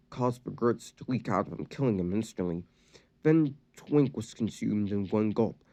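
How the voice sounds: The reading voice is natural, and the intonation is lively.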